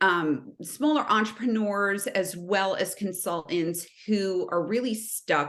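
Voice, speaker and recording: A woman with a New Jersey accent speaks at a medium pitch with ordinary pitch variation. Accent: New Jersey American. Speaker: sales consultant. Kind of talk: podcast interview.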